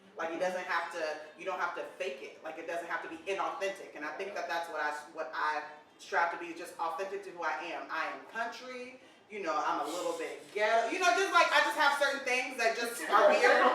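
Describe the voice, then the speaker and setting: Over noticeable background noise and audible room echo, a woman at medium pitch speaks at a fairly quick pace with lively intonation and big swings in loudness. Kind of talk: casual chat.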